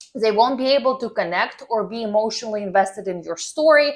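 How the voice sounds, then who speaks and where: This woman has a fairly high pitch and speaks with a non-native accent. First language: not English. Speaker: personal branding coach. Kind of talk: tutorial. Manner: casual, filler-heavy.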